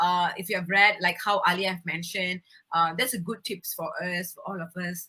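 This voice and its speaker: Her medium-pitched voice has a bright, sharp tone and fairly even intonation, while the woman's loudness swings widely. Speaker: beauty pageant winner and environmental advocate. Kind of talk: interview. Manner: fast.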